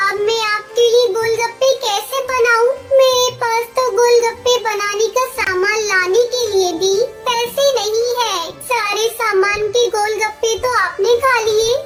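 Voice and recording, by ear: A cartoonish character voice with a female sound speaks at an extremely high pitch and a fairly slow pace. Music plays in the background.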